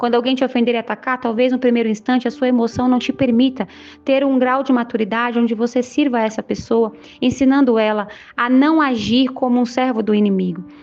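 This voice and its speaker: At a fairly quick pace, a woman speaks in a high-pitched voice with monotone, flat intonation. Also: very even loudness. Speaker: online preacher. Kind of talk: sermon. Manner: fast.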